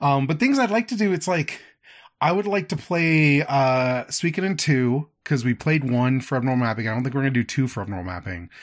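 The man's voice sits fairly high and swings very widely in pitch. He talks at a fairly quick pace. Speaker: podcast co-host. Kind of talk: casual chat.

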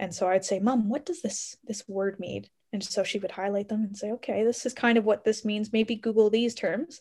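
A woman's unremarkable speaking voice, medium in pitch with ordinary pitch variation and a fairly quick pace, in a very clean recording with a silent background. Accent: Canadian. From Canada, Ontario. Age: 20s. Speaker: medical researcher and medical student. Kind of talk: interview.

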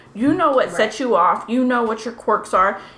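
Noticeable background noise accompanies a woman who speaks fairly quickly. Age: 30s. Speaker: podcast co-host. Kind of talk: casual chat.

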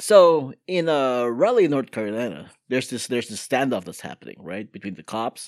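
A man speaks at a medium pitch with lively intonation. The recording is very clean, dry and close, with a silent background and no echo. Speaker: podcast host. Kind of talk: casual chat. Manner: fast talker.

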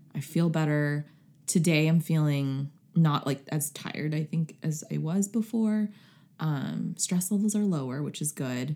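A woman speaks with a dark, mellow tone and a very deep, low pitch. Her pace is fairly slow, with ordinary pitch variation. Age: 20s. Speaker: podcast host. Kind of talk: casual chat.

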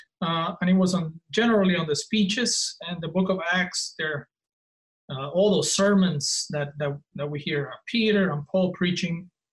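Speaking with a non-native accent, a man talks at a fairly slow pace and high pitch. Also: ordinary pitch variation. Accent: noticeable foreign. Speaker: professor of divinity. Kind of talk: casual interview conversation. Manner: halting, many fillers.

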